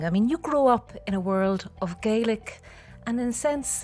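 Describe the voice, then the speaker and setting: Moderate pace and lively intonation from a woman, her voice fairly high and somewhat breathy. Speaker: podcast host. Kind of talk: podcast interview host.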